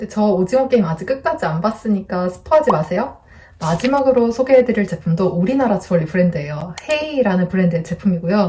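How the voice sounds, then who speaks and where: Soft-spoken, a woman of medium pitch talks at a very fast pace with very wide pitch swings. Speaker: lifestyle YouTuber. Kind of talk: product review vlog.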